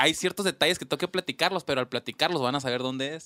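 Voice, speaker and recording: An animated man's voice with a bright, sharp tone, in a dry, close sound with no echo. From Mexico, Sonora (Ures). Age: 40s. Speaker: podcast host. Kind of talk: casual chat.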